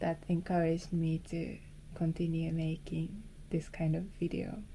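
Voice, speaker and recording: A woman speaks fairly slowly in a Japanese accent. Her fairly low, somewhat breathy voice stays monotone and flat. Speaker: film photography vlogger. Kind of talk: casual vlog talk. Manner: halting.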